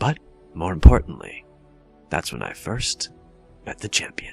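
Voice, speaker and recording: Over clear background music, a man does a put-on character voice, very deep and low, at a moderate pace. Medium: solo performance. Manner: sardonic, drawling.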